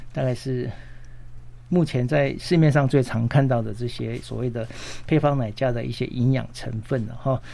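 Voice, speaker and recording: A man speaks at a moderate pace in a medium pitch. He has a normal speaking voice. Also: fairly even intonation. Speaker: pediatrician. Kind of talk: health talk interview.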